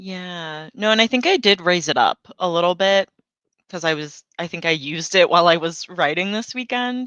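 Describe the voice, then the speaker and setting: Her voice has a bright, sharp tone and a fairly low pitch for a woman, with ordinary pitch variation, a moderate pace and a dry, close sound with no echo. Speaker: author and writing livestream host. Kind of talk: casual chat.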